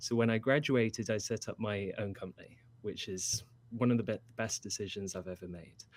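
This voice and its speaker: Someone with a British accent speaks at a moderate pace with fairly even intonation on a very clean recording with a silent background. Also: man. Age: 20s. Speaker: furniture and product designer. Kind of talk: interview.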